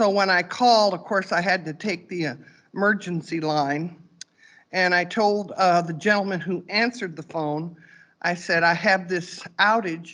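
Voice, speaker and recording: Against a quiet background, a woman with a plain, everyday voice speaks at a moderate pace, her fairly low pitch moving in fairly even intonation. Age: 60s. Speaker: resident making public comment. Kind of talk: public comment at board meeting. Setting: board meeting room.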